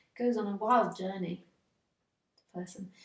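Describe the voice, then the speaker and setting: A somewhat breathy woman's voice with an English accent, medium pitch, ordinary pitch variation and a fairly quick pace. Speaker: spiritual teacher. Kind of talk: spiritual dialogue.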